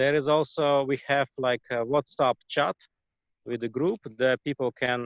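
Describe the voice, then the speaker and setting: The speaker has a Russian accent and talks at a moderate pace. The sound is dry and close, with no echo. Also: man. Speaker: shaman and healer. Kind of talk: interview. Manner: halting, many fillers.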